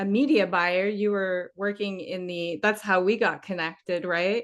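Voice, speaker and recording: A woman with a bright, sharp tone and medium pitch speaks at a fairly slow pace with ordinary pitch variation over a quiet background. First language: French. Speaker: podcast host. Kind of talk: interview.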